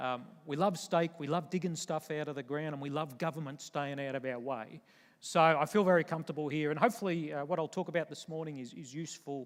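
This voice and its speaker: A man with an Australian accent speaks at a fairly high pitch with fairly even intonation. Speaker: retired army general, military speaker. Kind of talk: conference keynote talk. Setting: stage with audience.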